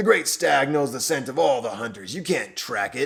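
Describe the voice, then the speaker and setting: A raspy, gruff put-on character voice from a man, fairly high-pitched for a man, at a moderate pace with lively intonation. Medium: read story. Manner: sour, gruff.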